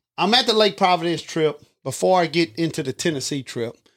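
Speaking at a moderate pace in a South Louisiana accent, a man with a high-pitched voice uses lively intonation. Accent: Southern US, south Louisiana. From Louisiana, Livingston Parish. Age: 40s. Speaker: hunter and father. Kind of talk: storytelling in casual chat.

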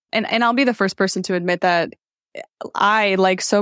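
On a very clean, dry, close recording with a silent background and no echo, a woman with an American accent speaks fairly quickly in an unremarkable speaking voice at a medium pitch with ordinary pitch variation. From US Midwest, small-town Wisconsin. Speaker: engineering leader and leadership coach. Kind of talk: casual interview.

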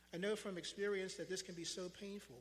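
A man with an American accent speaks at a very fast pace. Audible room echo surrounds his voice. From Pennsylvania, Philadelphia area. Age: 60s. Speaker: lay preacher. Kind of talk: sermon. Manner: halting.

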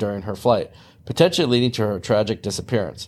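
There is a fairly low pitch to this man's voice, and he speaks with a Midwestern US accent. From US Midwest. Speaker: podcast host, aviation podcaster. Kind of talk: scripted narration mixed with casual chat.

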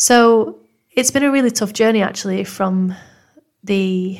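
In a Manchester accent, the voice has a warm, calm tone and ordinary pitch variation on a very clean recording with a silent background. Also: woman. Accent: northern English (Manchester). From Manchester, northern England. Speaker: podcast host, mental health nurse. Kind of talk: scripted-style podcast introduction, personal story. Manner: warm, calm, supportive.

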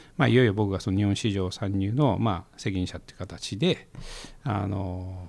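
An ordinary speaking voice from a man, fairly low in pitch, with ordinary pitch variation and big swings in loudness. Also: moderate pace. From Japan, Koriyama, Fukushima. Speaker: investor and entrepreneur. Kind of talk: casual interview. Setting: studio.

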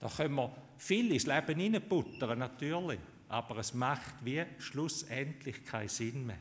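A somewhat breathy male voice at medium pitch, very slow, with ordinary pitch variation. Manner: animated and heartfelt, emphatic with rhetorical build-ups, upbeat and encouraging.

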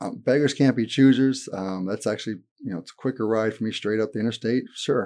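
With an American accent, a man speaks fairly quickly at a medium pitch in a dark, mellow tone. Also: ordinary pitch variation. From Florida (St. Petersburg area). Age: 40s. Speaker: public defender and judicial candidate. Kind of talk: interview.

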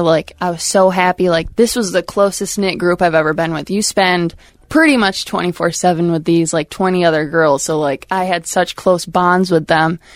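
In an ordinary speaking voice, a woman with an American accent speaks at a moderate pace and fairly low pitch, her intonation fairly even, on a very clean recording with a silent background. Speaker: former college softball pitcher. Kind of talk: casual chat. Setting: studio.

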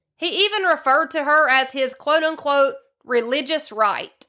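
In a Southern US accent, a woman speaks with a high pitch and a bright, sharp tone.

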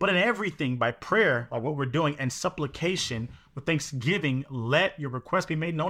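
On a very clean recording with a silent background, a man with a fairly high pitch and a bright, sharp tone talks at a moderate pace with lively intonation. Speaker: prayer night co-host. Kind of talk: fervent group prayer. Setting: live video stream. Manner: emphatic, affirming, call-and-response.

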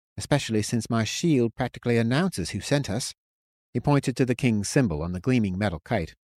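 Plain reading aloud takes place against a quiet background.

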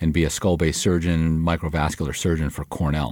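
In an American accent, a man talks at a very fast pace with a very deep, low pitch. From US Midwest, suburban Detroit, Michigan. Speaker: surgeon and healthcare executive. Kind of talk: interview.

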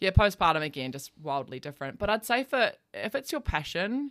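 On a very clean recording with a silent background, a woman speaks fairly quickly with an Australian accent. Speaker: podcast host. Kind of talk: casual chat. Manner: casual, swears freely.

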